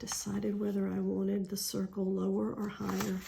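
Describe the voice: A woman with a medium pitch, a dark, mellow tone and vocal fry speaks in a monotone, flat intonation at a moderate pace, with audible room echo.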